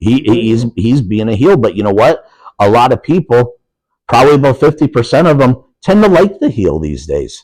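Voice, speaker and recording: An animated man with an Upper Peninsula Michigan accent, vocal fry and very wide pitch swings. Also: medium pitch for a man, moderate pace. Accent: Upper Peninsula Michigan (Yooper). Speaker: professional wrestler. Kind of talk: casual chat.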